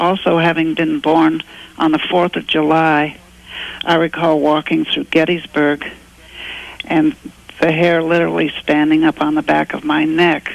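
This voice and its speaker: Noticeable background noise behind fairly slow speech. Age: 70s. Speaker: caller. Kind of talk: call-in question. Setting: phone call.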